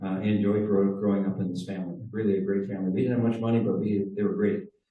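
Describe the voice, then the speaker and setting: The voice carries an American accent with fairly even intonation. Room echo is audible. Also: man. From Wisconsin, Door County. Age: 70s. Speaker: car club presenter. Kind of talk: presentation to a club audience. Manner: hesitant, many fillers.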